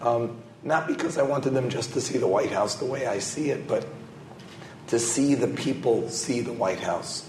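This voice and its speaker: Amid noticeable background noise and audible room echo, a man with an American accent talks at a moderate pace, using a medium pitch and ordinary pitch variation. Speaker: scholar and government program adviser. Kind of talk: panel discussion. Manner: halting, many fillers and repetitions.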